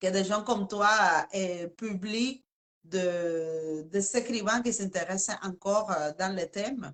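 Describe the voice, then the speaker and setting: A woman with a Spanish accent speaks at a very slow pace, her pitch varying in an ordinary way. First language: Spanish (speaking French). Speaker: interviewer. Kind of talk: live interview. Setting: live video stream.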